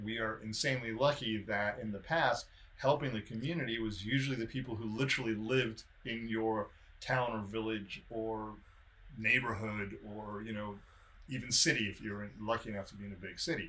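A man's bright, sharp voice moves in big swings of loudness while his intonation stays fairly even. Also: medium pitch for a man. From South Africa, then San Diego from age twelve. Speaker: podcast co-host. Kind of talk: casual chat. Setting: video call.

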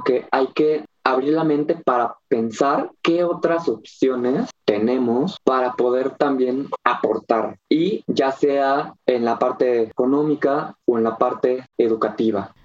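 Talking at a very slow pace with a central Mexican accent, a man with a medium-pitched voice hardly pauses, keeping his loudness very even and his pitch variation ordinary. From Mexico, Cuernavaca (Morelos). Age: 20s. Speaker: small business owner, organic gardens. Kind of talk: interview.

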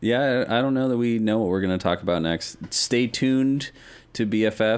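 In a plain, everyday voice, a man with an American accent speaks at a moderate pace with medium pitch, fairly even intonation and very even loudness. The recording is very clean, with a silent background. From Denver, US West. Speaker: guest gamer. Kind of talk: casual chat.

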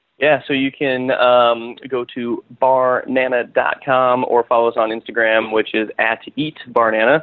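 A man with an American accent at a medium pitch, fairly slow and monotone, with flat intonation and hardly any pauses. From US Midwest, western Nebraska. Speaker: food startup co-founder. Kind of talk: interview.

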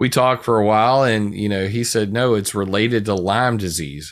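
With a plain, everyday voice, a man speaks at a fairly quick pace in a fairly low pitch with ordinary pitch variation, on a very clean recording with a silent background. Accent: American. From US South, South Carolina. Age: 40s. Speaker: researcher and blogger. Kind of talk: casual interview.

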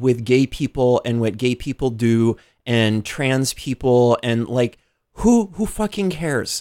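A man with an American accent, medium pitch, lively intonation and a fairly slow pace, in a very clean recording with a silent background and a dry, close sound with no echo. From Omaha, Nebraska then Modesto, California. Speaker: radio show guest. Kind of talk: casual chat.

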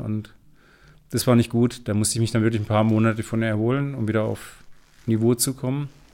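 At a fairly quick pace, a man talks at a medium pitch with a dark, mellow tone and fairly even intonation. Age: 40s. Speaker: entrepreneur and business coach. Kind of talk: interview conversation.

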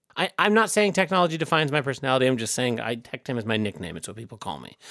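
Very fast male speech with very wide pitch swings, big swings in loudness and a bright, sharp tone. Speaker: podcast host. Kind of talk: casual chat.

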